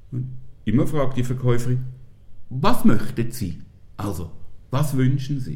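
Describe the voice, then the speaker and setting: A man's somewhat breathy, dark, mellow voice at medium pitch, fairly slow with long, frequent pauses, lively intonation and big swings in loudness. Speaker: podcast guest. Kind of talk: casual chat.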